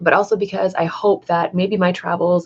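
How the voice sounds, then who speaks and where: The speaker has a Canadian accent. The pace is moderate. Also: woman. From Canada, southwestern Ontario. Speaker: vlogger. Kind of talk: livestream monologue. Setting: live stream at home. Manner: halting, self-correcting.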